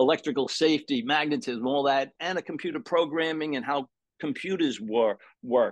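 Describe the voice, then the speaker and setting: A man's fairly high voice with a Brooklyn accent, at a moderate pace with ordinary pitch variation, against a quiet background. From New York, Brooklyn. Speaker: sound therapy practitioner. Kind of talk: interview.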